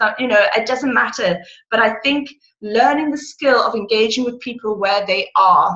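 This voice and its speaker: Her tone is bright and sharp, and a woman's pitch sits fairly high. She keeps a moderate pace with ordinary pitch variation. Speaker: direct sales consultant. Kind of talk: motivational talk on a video call. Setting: video call. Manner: loud and excitable.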